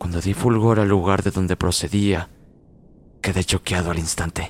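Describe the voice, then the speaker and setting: A man with a very deep, low voice speaks with fairly even intonation. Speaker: podcast narrator of horror stories. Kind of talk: horror story narration, first-person, eerie and suspenseful. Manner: descriptive, gloomy, building dread.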